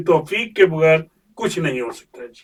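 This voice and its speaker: A man speaks in a high-pitched voice. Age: 70s. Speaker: imam. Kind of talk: interview. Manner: formal.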